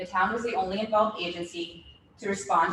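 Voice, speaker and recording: A woman talks at a very fast pace with ordinary pitch variation. Noticeable background noise runs under her voice. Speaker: city official presenting at hearing. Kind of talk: formal presentation at public hearing. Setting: public meeting.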